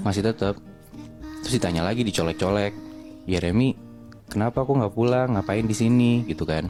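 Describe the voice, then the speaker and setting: Over music in the background, a man with a fairly low pitch talks at a fairly quick pace, keeps his loudness very even and leaves long, frequent pauses. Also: ordinary pitch variation. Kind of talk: horror story told casually to friends while cooking. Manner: casual, conversational storytelling.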